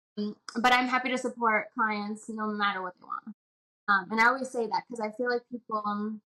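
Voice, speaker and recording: A woman's fairly high, bright and sharp voice with a Spanish accent, flat and monotone, at a fairly quick pace, in a dry, close sound with no echo. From Puerto Rico. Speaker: doula. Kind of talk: casual interview chat.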